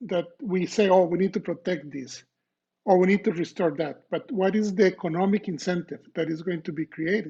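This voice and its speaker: A man's high-pitched voice with a Costa Rican accent, dark, mellow tone, moderate pace and ordinary pitch variation. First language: Spanish. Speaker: professor. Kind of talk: lecture. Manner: halting, many fillers.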